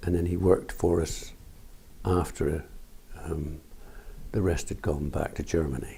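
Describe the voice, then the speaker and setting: A man talks in a very deep, low voice with a dark, mellow tone that is somewhat breathy. His pace is fairly slow with long, frequent pauses and fairly even intonation. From Somerset, England. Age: 60s. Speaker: farmer. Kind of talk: oral history interview.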